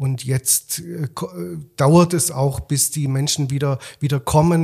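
A man speaks at a very slow pace in a fairly high voice. His delivery is somewhat breathy, with fairly even intonation. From Swabia, Germany (Rottenburg am Neckar). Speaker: festival director and musicologist. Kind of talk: interview conversation. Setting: studio.

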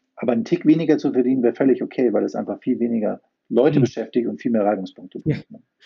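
Speaking very fast at medium pitch, a man shows vocal fry, big swings in loudness and ordinary pitch variation. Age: 50s. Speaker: IT company founder. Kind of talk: interview.

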